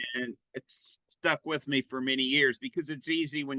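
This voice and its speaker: A man speaks at a moderate pace with a bright, sharp tone, the sound dry and close with no echo. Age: 70s. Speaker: business consultant, company CEO. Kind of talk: interview. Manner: halting, many fillers and repeats.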